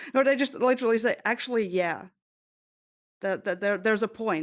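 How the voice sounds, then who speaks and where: With a non-native accent, a woman talks with ordinary pitch variation on a very clean recording against a silent background. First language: not English. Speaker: streamer. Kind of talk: panel discussion. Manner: halting.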